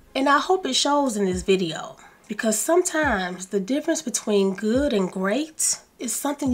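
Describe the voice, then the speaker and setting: A woman with a Southern US accent speaks in a fairly high pitch that swings very widely. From US South. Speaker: lifestyle YouTuber. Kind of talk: self-help video talk. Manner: slow and calm.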